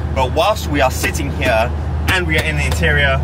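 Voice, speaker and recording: The man's voice sounds dry with no echo, set against loud background noise. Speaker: car reviewer. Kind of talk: casual car review vlog. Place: car. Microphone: phone near.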